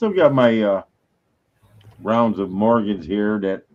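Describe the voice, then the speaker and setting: A man talks in an unremarkable speaking voice. His pitch is fairly low and his pace moderate. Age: 60s. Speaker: coin collector. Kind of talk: casual chat.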